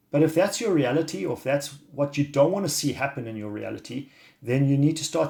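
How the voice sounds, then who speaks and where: Lively in intonation, a man speaks at a fairly high pitch and a fairly quick pace. Vocal fry runs through his voice. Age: 50s. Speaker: wellness coach. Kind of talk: video monologue. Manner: halting.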